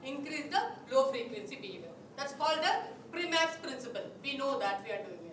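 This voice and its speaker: Noticeable background noise and audible room echo surround the speaker. She is a woman with a high voice. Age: 60s. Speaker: psychology speaker. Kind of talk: lecture.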